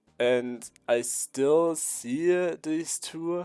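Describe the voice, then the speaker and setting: A man speaks with a dark, mellow tone and fairly even intonation. The sound is dry and close with no echo, on a very clean recording with a silent background. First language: not English. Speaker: YouTuber and digital artist. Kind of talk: casual vlog monologue. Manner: halting.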